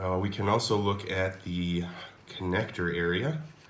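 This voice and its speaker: Room echo is audible around the voice. The accent is American. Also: man. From United States. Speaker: mod maker demonstrating his product. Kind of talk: product demo tutorial. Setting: home laundry room. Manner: casual, with many fillers.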